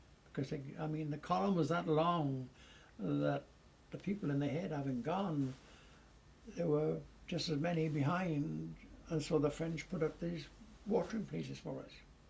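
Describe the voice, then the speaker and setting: A somewhat breathy voice in a British accent, at a moderate pace, with ordinary pitch variation and long, frequent pauses. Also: man, fairly high pitch for a man. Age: 80s+. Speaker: war veteran. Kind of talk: testimony.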